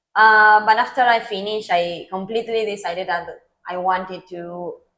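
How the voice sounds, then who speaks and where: Bright and sharp in tone, a woman with an Argentine accent speaks with big swings in loudness on a very clean recording with a silent background. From Argentina, Mar del Plata. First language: Spanish. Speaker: public policy professional. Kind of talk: interview. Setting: podcast.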